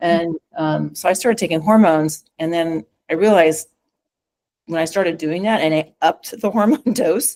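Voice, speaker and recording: Her pitch fairly low for a woman, she speaks at a moderate pace with ordinary pitch variation, in a dry, close sound with no echo. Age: 60s. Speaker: physician specializing in menopause and hormone therapy. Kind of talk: interview conversation. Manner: halting, many fillers.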